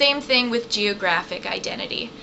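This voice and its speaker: Speaking at a fairly slow pace in an American accent, a woman is heard over noticeable background noise and audible room echo. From southern Virginia. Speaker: college professor. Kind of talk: recorded lecture. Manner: casual, conversational.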